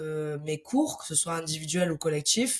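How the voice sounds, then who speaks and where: A woman speaks in a fairly low pitch. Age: 20s. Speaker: sports coach. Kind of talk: podcast interview. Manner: hesitant with fillers.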